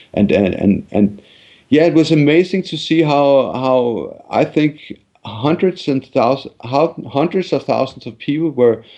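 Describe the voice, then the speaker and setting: A man with a Danish accent and a dark, mellow tone talks at a moderate pace. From Denmark. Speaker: journalist and activist. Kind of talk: interview. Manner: halting, many repetitions and fillers.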